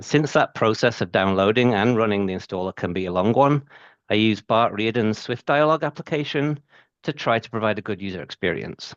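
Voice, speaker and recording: A man with a British accent speaks at a fairly quick pace and medium pitch with lively intonation, in a dry, close sound with no echo over a quiet background. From UK. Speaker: IT systems engineer presenter. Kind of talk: technical presentation.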